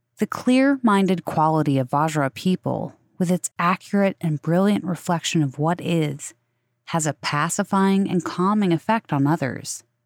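Recorded very cleanly with a silent background and a dry, close sound with no echo, a woman speaks at a fairly low pitch and moderate pace with very even loudness. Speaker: sleep podcast host. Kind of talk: reading aloud; casual monologue. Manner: not whispering, not monotone; sincere, calm.

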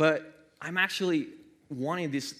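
A man talks with a non-native accent. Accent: noticeable foreign. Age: 30s. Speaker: preacher. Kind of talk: sermon. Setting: church. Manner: animated.

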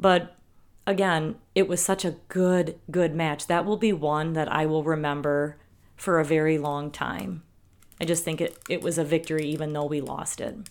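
The speaker has a Wisconsin accent. The recording is very clean, with a silent background. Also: woman, very deep, low pitch for a woman, fairly even intonation, moderate pace. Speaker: podcast co-host. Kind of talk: casual chat.

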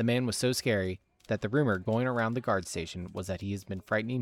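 Pitch varies in an ordinary way for this man. He talks at a fairly quick pace. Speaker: game master and narrator. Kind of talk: fantasy narration reading, dramatic storytelling of scripted lore. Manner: casual and friendly in the intro.

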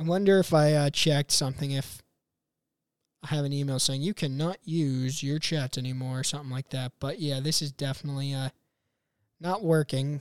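On a very clean recording with a silent background and a dry, close sound with no echo, a man with a normal speaking voice talks fairly quickly at a fairly high pitch with fairly even intonation. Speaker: podcast host. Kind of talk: casual chat. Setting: live stream. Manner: casual, rambling, profane.

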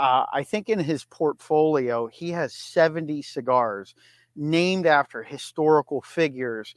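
A normal speaking voice talks at a fairly slow pace with ordinary pitch variation. The very clean recording has a silent background and a dry, close sound with no echo. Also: man, fairly high pitch for a man. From Erie, Pennsylvania. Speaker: cigar industry advocate and cigar maker. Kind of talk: casual interview.

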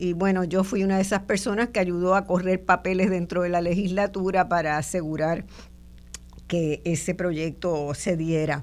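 A woman speaks at a moderate pace in a plain, everyday voice. Her pitch is fairly low and her intonation fairly even. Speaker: radio host and sociologist. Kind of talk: radio interview. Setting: radio studio, also streamed on video.

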